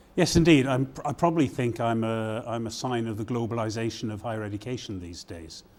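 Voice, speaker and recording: With a British accent, a man talks very fast with hardly any pauses at a medium pitch, showing ordinary pitch variation and big swings in loudness. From Britain. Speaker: university provost. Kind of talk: interview. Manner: halting, many fillers.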